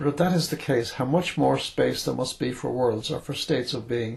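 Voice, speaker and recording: Using vocal fry, a man talks at a fairly quick pace at medium pitch with ordinary pitch variation. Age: 80s+. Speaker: retired writer and journalist. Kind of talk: philosophical monologue from memory. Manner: hesitant; unscripted, speaking from memory.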